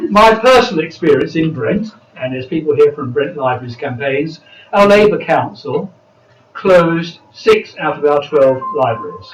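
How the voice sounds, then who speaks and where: Over music in the background, a man with a British accent speaks at a moderate pace, his fairly high voice carrying lively intonation. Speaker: political party speaker. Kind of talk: panel speech.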